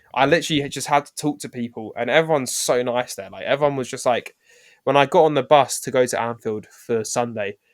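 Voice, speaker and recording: On a very clean recording with a silent background, a man with an English accent talks at medium pitch and a very fast pace. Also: big swings in loudness. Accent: non-Scouse English. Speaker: podcast co-host. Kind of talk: casual chat. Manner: halting, many fillers; animated.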